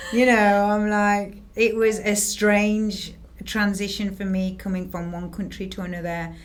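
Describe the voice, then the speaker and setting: This speaker uses a monotone, flat intonation at a fairly slow pace, in an English accent. Audible room echo surrounds the voice. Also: woman, medium pitch for a woman. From northern England, Harrogate, North Yorkshire. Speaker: realtor. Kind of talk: casual chat.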